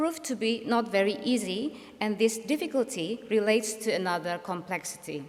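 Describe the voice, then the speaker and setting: This woman's voice sits at a fairly high pitch and moves with lively intonation. She keeps a moderate pace over noticeable background noise. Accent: Indonesian. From Indonesia. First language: Indonesian. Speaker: speaker. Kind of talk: lecture.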